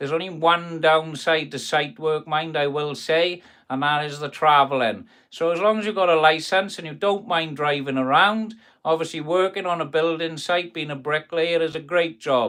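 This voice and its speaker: With a Welsh accent, a man speaks at a moderate pace in a fairly high pitch, using ordinary pitch variation. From South Wales. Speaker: carpenter and kitchen fitter. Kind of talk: live stream chat reading viewer comments. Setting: workshop. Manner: casual, chatty.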